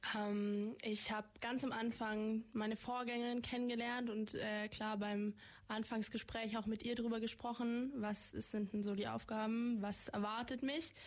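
A woman with a fairly high pitch speaks at a fairly slow pace in a monotone, flat intonation, her loudness very even and hardly any pauses in her speech. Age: young (18). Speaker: federal volunteer service participant. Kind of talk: radio interview. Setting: radio studio.

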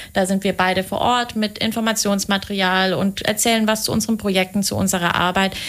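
A woman with an ordinary speaking voice talks at a fairly quick pace and a medium pitch. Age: 20s. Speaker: project manager at a city European office. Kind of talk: radio interview. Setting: radio studio.

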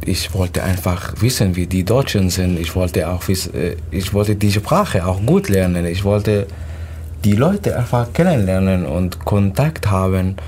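Pitched very deep and low, this man's voice moves with ordinary pitch variation. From Syria. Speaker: refugee. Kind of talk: casual interview. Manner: halting.

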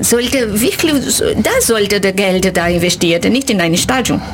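Over noticeable background noise, a woman with a Portuguese accent talks with very wide pitch swings. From Brazil. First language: Portuguese (speaking German). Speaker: university language lecturer. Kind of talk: radio interview. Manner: halting.

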